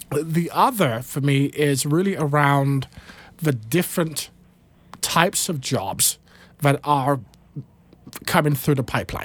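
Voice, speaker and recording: With a British accent, a man speaks at a fairly slow pace in a fairly high pitch, with ordinary pitch variation and long, frequent pauses. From United Kingdom. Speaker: nonprofit CEO. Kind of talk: panel discussion. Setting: studio.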